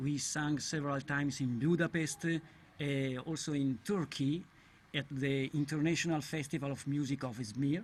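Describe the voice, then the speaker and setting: A man with an Italian accent talks at a fairly high pitch, somewhat breathy, with fairly even intonation. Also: moderate pace, very clean recording, silent background. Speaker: a cappella singer. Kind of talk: interview. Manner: halting.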